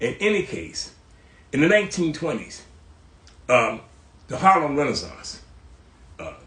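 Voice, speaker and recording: A man's fairly high-pitched voice at a fairly slow pace, with audible room echo. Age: 80s+. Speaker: cultural historian, host's father. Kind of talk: casual interview chat. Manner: halting, repeating words.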